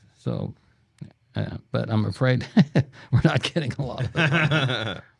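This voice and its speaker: Speaking at a fairly slow pace, a man uses a medium pitch with ordinary pitch variation and vocal fry. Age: 70s. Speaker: pastor. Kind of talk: casual chat. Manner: halting.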